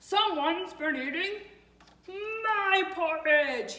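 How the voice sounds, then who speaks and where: Bellowing at an extremely high pitch in a put-on character voice, the speaker goes at a very slow pace with audible echo. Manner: roaring, frustrated.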